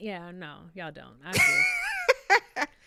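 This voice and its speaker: A woman's animated tone comes through noticeable background noise. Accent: New York. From New York. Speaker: YouTube reality TV commentator. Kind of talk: casual livestream chat.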